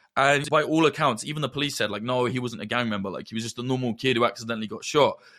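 A man's very fast speech with a slight Midlands accent, medium pitch, ordinary pitch variation and a bright, sharp tone, in a very clean recording with a silent background. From Northamptonshire, England. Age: 30s. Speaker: conflict journalist. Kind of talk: casual chat.

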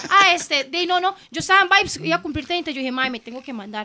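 A woman speaks in a raised, projected voice. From southern Costa Rica. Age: 30s. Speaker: DJ. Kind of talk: casual chat.

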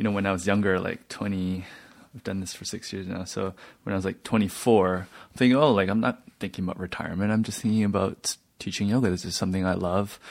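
A very fast pace on a very clean recording with a silent background. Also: man, fairly low pitch for a man. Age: 20s. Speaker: podcast host, yoga teacher. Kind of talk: interview conversation. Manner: halting.

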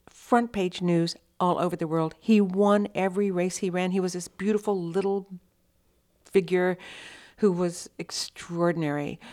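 A woman with a dark, mellow tone and medium pitch, at a moderate pace, with an American accent, on a very clean recording over a silent background. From Texas (Austin). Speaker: photojournalist. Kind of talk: interview.

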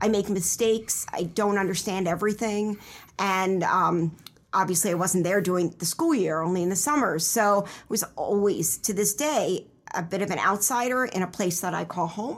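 Speaking in an unremarkable speaking voice, a woman with an American accent keeps a medium pitch and ordinary pitch variation. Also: moderate pace, very clean recording, silent background. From Pennsylvania, Philadelphia suburbs. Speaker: novelist and writing program director. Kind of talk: interview.

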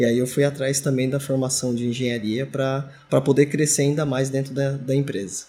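This man's voice is fairly high in pitch and somewhat breathy. His tone is dark and mellow, and he talks at a fairly quick pace. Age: 40s. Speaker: engineering supervisor. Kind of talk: interview.

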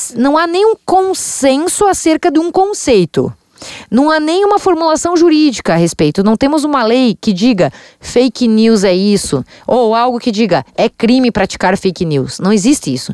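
At a moderate pace, a woman speaks in a high voice with very wide pitch swings and very even loudness, in a dry, close sound with no echo. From Santa Catarina interior, Brazil. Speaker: state legislator. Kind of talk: interview.

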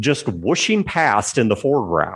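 Over a quiet background, a man speaks with vocal fry and very wide pitch swings at a fairly slow pace. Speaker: podcast host. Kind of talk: casual chat. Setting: video call.

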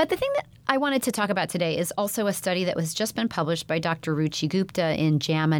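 A woman at a very fast pace, fairly low in pitch, with lively intonation. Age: 40s. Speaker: pediatrician podcast host. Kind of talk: health podcast monologue.

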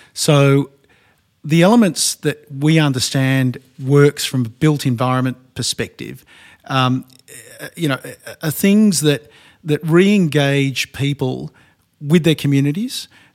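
A man with an Australian accent talks at a fairly slow pace with long, frequent pauses. His pitch is fairly high and varies in an ordinary way. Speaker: co-founder of a later-living company. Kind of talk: panel discussion.

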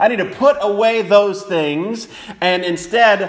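At a fairly slow pace and with ordinary pitch variation, the speech carries audible room echo over noticeable background noise. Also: man. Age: 40s. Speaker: preacher. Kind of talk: sermon. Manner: halting, many fillers and repetitions.

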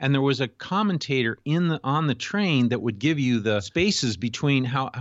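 A man with an American accent uses a normal speaking voice at a medium pitch. His intonation is lively and his pace moderate. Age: 60s. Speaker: executive coach. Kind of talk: interview.

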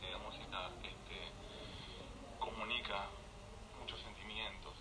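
Noticeable background noise is present. The room echo is audible too. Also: man. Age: 20s. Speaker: radio producer. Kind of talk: radio interview.

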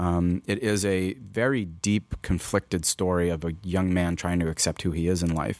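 A man with a very deep, low voice speaks at a moderate pace with fairly even intonation and very even loudness, in a dry, close recording with no echo and a silent background on a very clean track. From New York, Queens. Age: 40s. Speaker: filmmaker and photographer. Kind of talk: casual interview chat. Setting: studio.

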